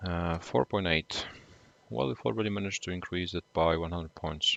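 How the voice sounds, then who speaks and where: This man has a very deep, low pitch and a Slavic accent. He talks at a fairly quick pace. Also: ordinary pitch variation. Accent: Slavic accent, noticeable. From Poland. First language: Polish. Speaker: gaming streamer. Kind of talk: live gaming stream chat. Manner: hesitant, many filler uhs.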